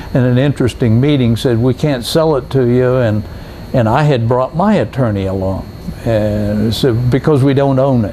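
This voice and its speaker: Over noticeable background noise, a man talks at a moderate pace and medium pitch, with ordinary pitch variation and very even loudness. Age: 80s+. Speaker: scuba instructor. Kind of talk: interview. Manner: halting.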